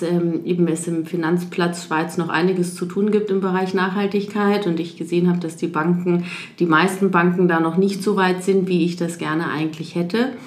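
With audible room echo, a woman talks at a moderate pace in a fairly low pitch, her intonation monotone and flat, with hardly any pauses. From Munich, Bavaria. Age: 30s. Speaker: economist at a sustainability bank. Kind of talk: interview.

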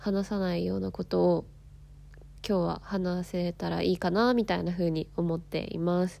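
Recorded very cleanly against a silent background, a woman speaks at a fairly slow pace. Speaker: podcast host and life coach. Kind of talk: casual solo talk.

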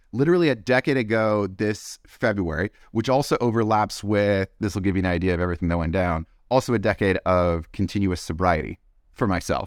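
Here is a man with a plain, everyday voice, pitched fairly low. His pitch varies in an ordinary way, and the recording is very clean with a silent background. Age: 40s. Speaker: head of marketing, former military service member. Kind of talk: casual interview.

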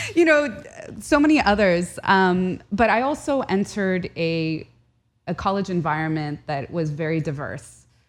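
A woman talks at a fairly slow pace and a medium pitch. Her pitch swings very widely against a quiet background. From Southern California. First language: Arabic. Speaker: historian and journalist. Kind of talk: casual interview conversation. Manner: animated, emotional.

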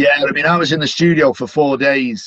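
A moderate pace in a Manchester accent. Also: man. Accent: Mancunian, northern English. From Manchester, England. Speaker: stadium announcer. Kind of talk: interview chat.

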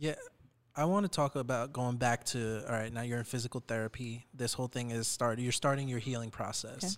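On a very clean recording with a silent background, a man speaks in a plain, everyday voice at a medium pitch and a fairly quick pace. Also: ordinary pitch variation. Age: 30s. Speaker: podcast co-host. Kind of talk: interview.

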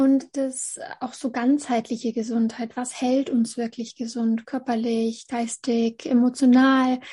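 The voice moves at a very slow pace, dark and mellow in tone, with monotone, flat intonation. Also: woman, high pitch for a woman. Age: 30s. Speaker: essential oils sales consultant. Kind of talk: casual interview.

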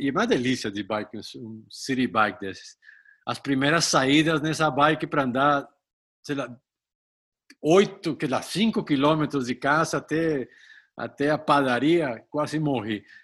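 In a very clean recording with a silent background, a man with a Spanish accent talks at a fairly slow pace. His pitch sits fairly high and his intonation is lively. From Colombia. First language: Spanish (speaking Portuguese). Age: 60s. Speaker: retired executive and amateur triathlete. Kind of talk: interview. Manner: halting, frequent repetitions.

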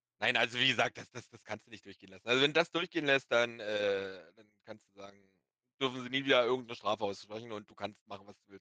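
A man's very fast, bright, sharp voice, with big swings in loudness and ordinary pitch variation, in a dry, close sound with no echo. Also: medium pitch for a man. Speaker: online game manager guest. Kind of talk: casual chat.

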